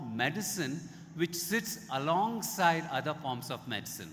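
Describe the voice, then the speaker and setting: With audible room echo around him, a man talks in a high pitch using lively intonation. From India. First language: Indian language, English learned. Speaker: Ayurveda expert speaker. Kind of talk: conference talk.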